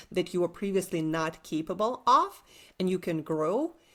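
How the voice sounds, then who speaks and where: A woman with a Russian accent, medium pitch, on a very clean recording with a silent background. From Siberia, Russia. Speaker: entrepreneur coach. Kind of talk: interview.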